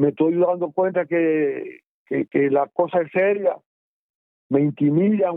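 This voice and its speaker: With a Dominican accent, a man speaks in a high pitch. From Dominican Republic. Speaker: former guerrilla fighter. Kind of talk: oral history interview. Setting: phone call. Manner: halting.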